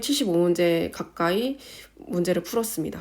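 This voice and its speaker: At a moderate pace, a woman speaks with lively intonation in a fairly low pitch, on a very clean recording with a silent background. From South Korea. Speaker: nurse and exam-tips vlogger. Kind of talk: informal tutorial.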